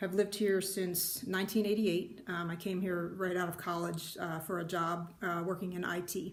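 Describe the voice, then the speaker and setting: A woman with an American accent speaks with vocal fry at a fairly low pitch. Her intonation is monotone and flat, and the room echo is audible. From US Northeast, New Jersey shore. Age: 50s. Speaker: retired IT worker, needlework vlogger. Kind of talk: casual vlog introduction. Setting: home craft room. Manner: hesitant, many fillers.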